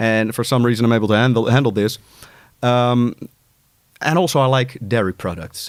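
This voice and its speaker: At a moderate pace, a man with a Dutch accent speaks with ordinary pitch variation and long, frequent pauses. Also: medium pitch for a man. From Netherlands. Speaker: music producer and artist coach. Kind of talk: casual interview chat. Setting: studio.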